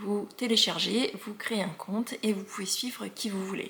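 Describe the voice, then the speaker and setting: Noticeable background noise sits behind a woman speaking at a medium pitch. She talks at a fairly slow pace with monotone, flat intonation. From Alsace, France. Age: 40s. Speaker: knitting podcaster. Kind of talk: casual podcast monologue. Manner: hesitant, many fillers.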